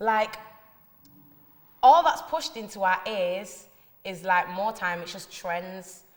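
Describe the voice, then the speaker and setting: With a strong Manchester accent, the speaker goes at a very slow pace, with ordinary pitch variation, big swings in loudness and long, frequent pauses. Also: woman, medium pitch for a woman. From northern England, north Manchester. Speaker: musician and poet. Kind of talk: interview answers. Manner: casual slangy.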